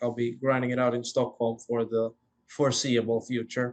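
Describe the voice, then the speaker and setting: A man with a Swedish accent, medium pitch, and moderate pace. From Finland, Swedish-speaking Finn. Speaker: former intern, startup founder. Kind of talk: casual chat.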